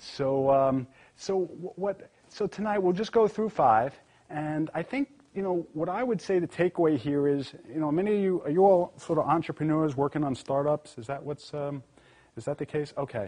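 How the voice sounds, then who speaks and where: A man with a New York accent speaks at a fairly high pitch with lively intonation. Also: moderate pace. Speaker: corporate lawyer. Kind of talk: live presentation to audience. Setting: live event with audience, streamed. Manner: casual, conversational with fillers.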